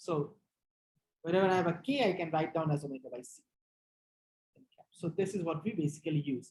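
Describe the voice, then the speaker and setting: A somewhat breathy woman speaks at a fairly quick pace with a fairly low pitch and ordinary pitch variation. Her loudness swings widely, and she leaves long, frequent pauses. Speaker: physics lecturer. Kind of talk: lecture.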